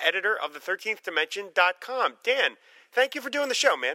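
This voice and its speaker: A man speaks in a high, raised, projected voice with a bright, sharp tone. The sound is dry and close, with no echo. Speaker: podcast host. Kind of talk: casual chat.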